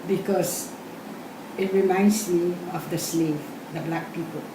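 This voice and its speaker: A woman with a fairly low pitch talks at a very slow pace, with audible room echo and noticeable background noise. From Guam. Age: 70s. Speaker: oral history interviewee. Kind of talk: interview.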